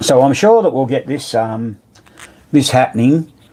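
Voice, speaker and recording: A man with an Australian accent speaks at a medium pitch amid noticeable background noise. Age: 70s. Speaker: pinball repairer. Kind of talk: live stream chat. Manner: casual.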